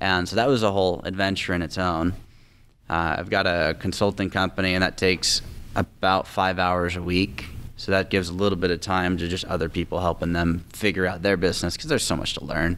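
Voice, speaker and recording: A man with an American accent talks at a very deep, low pitch and a fairly quick pace. His intonation stays fairly even over light background noise. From Tacoma, Washington, US Pacific Northwest. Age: 20s. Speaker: real estate investor. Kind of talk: interview. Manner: fluent, confident. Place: studio. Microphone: studio mic.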